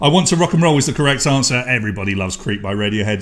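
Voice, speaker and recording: A man in an English accent speaks at a medium pitch, somewhat breathy. His tone is animated. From England. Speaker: online quiz host. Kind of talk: live quiz hosting.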